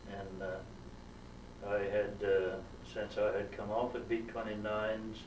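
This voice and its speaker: In a room with audible echo, a man speaks at a fairly slow pace, his fairly low pitch held in a monotone, flat intonation. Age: 80s+. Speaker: war veteran. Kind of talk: oral history interview. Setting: museum. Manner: halting, many fillers.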